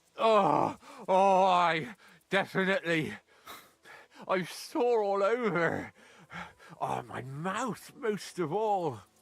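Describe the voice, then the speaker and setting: In a put-on character voice, a man mumbles at a high pitch and a very slow pace, with lively intonation and long, frequent pauses. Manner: groaning, sore.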